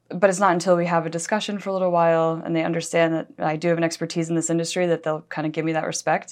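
A woman speaks at a very fast pace with hardly any pauses, her intonation monotone and flat. The background is quiet. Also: fairly low pitch for a woman. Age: 30s. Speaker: editor of an advertising trade publication. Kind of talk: interview.

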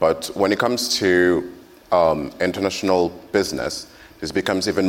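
A man with a French accent, very deep and low in pitch, at a moderate pace with fairly even intonation. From France. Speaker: agency manager. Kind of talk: panel discussion.

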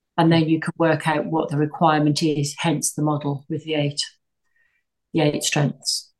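In an English accent, a woman speaks at a moderate pace with a very deep, low pitch and flat, monotone intonation. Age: 60s. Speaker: tech entrepreneur. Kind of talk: interview.

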